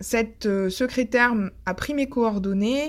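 The recording is very clean with a silent background, and the woman's pitch varies in an ordinary way. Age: 30s. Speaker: podcaster and veterinarian. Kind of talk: personal testimony. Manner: hesitant, with frequent fillers.

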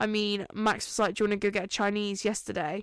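Speaking very fast with an English accent, a woman uses a fairly high pitch on a very clean recording with a silent background. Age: 20s. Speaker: podcast host. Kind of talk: casual monologue. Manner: casual, filler-heavy.

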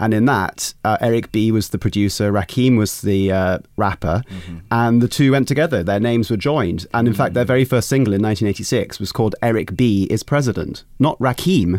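A man talks in an ordinary speaking voice at a medium pitch, with ordinary pitch variation. His pace is fairly quick, with hardly any pauses. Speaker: hip hop expert. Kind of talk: casual discussion.

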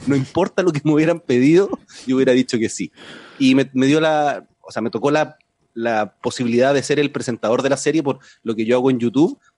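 Speaking with a Chilean accent, a man talks at a fairly quick pace and medium pitch, with ordinary pitch variation. The sound is dry and close, with no echo. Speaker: science communicator, TV series presenter. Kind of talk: casual chat.

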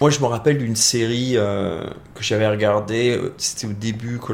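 At a fairly slow pace, a man talks in an unremarkable speaking voice of medium pitch. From France. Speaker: visual effects professional. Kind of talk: casual interview.

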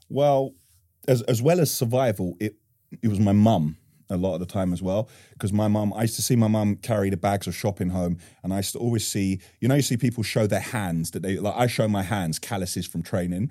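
In a very clean recording with a silent background, a man with a London accent speaks at a fairly quick pace, his fairly low pitch showing ordinary variation and a dark, mellow tone. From Northwest London. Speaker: construction business owner. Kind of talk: interview.

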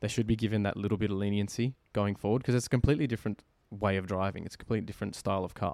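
A man speaks very fast in a fairly low voice, his intonation fairly even. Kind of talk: casual chat.

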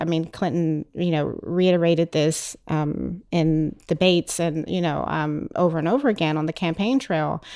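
A woman's fairly low, dark and mellow voice at a moderate pace with ordinary pitch variation and hardly any pauses, in a very clean recording with a silent background. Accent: American. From United States. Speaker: writer and PhD candidate. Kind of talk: group discussion. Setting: studio.

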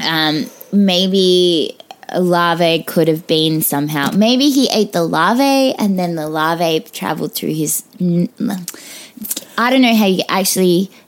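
A woman's fairly low voice in an Australian accent, very slow yet with lively intonation, over noticeable background noise. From Australia, Perth. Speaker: burlesque performer. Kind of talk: casual chat.

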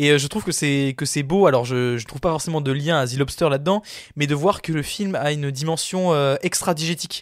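A man talks at a fairly quick pace. His voice is fairly high in pitch, with ordinary pitch variation. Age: 20s. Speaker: podcast film columnist. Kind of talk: casual chat.

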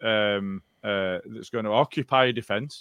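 A man talks with a Yorkshire accent. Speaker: football podcast co-host. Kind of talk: casual chat.

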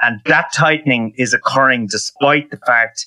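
A man with an Irish accent speaks at a moderate pace and medium pitch in a bright, sharp tone, with fairly even intonation and a dry, close sound with no echo. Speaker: economist. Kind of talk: interview.

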